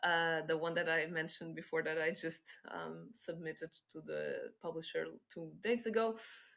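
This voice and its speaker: A woman with a Portuguese accent, a fairly low pitch and a bright, sharp tone. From Portugal. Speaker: head of business development. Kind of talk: podcast interview.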